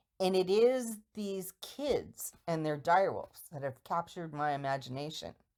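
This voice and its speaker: On a very clean recording with a silent background, a woman speaks at a fairly low pitch. Her pitch swings very widely. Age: 60s. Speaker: fantasy book fan sharing a theory. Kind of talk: casual monologue. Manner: halting.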